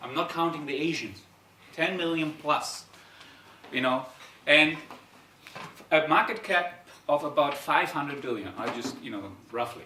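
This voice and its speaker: A man speaks at a fairly high pitch and moderate pace, with ordinary pitch variation, big swings in loudness and long, frequent pauses. Audible room echo and noticeable background noise surround him. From Germany, Darmstadt, Italian-German. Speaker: startup founder and CEO. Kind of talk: conference talk. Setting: stage with audience. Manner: halting.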